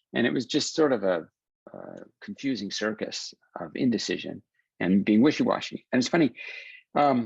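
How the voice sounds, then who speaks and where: A man with an ordinary speaking voice talks at a moderate pace with lively intonation, his sound dry and close with no echo against a quiet background. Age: 60s. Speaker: film writer and director. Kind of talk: podcast interview.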